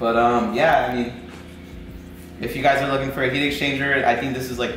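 Monotone and flat, a man speaks at a fairly quick pace. Light background noise and audible room echo surround him. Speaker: car vlogger. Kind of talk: casual vlog chat. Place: garage. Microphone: camera far.

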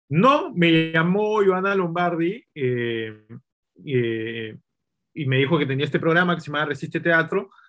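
The man's pitch is fairly high and his intonation lively. He speaks at a fairly slow pace. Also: quiet background. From Peru. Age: 30s. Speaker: film director and screenwriter; interview guest. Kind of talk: casual interview. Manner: hesitant, repeats words. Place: home room. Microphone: video call.

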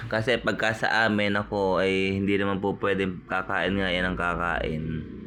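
The voice has a bright, sharp tone, fairly even intonation and very even loudness. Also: man, fairly low pitch for a man, moderate pace, hardly any pauses. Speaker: vlogger and family caregiver. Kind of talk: cooking vlog narration.

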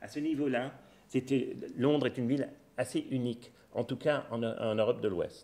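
A man's dark, mellow voice at a moderate pace, broken by long, frequent pauses. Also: fairly even intonation. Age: 40s. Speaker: professor of anthropology and sociology; professor of anthropology. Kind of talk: lecture. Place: hall. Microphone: podium.

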